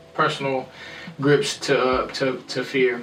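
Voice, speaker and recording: With fairly even intonation, a man speaks amid audible room echo. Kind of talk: casual chat.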